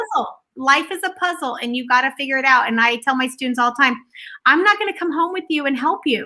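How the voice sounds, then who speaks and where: In a very clean recording with a silent background, a woman with a high pitch speaks very fast in a raised, projected voice, her tone animated, bright and sharp, her intonation lively. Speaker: math teacher. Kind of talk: casual chat. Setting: live video stream.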